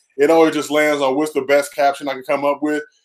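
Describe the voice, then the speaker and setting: A man talks at a very fast pace in a fairly high voice. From Los Angeles, View Park; Los Angeles. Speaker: comedy writer and former college basketball player; podcast guest. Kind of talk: casual interview chat. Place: home room. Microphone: headset.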